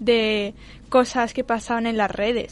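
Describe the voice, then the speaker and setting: Fairly high in pitch, a woman speaks at a fairly slow pace with monotone, flat intonation. The background is quiet. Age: young. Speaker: youth radio show co-host. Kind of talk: casual chat.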